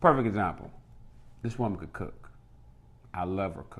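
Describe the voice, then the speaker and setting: Loud and at a moderate pace, a man talks with a fairly low pitch and ordinary pitch variation. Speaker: married couple podcast co-host. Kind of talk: casual chat.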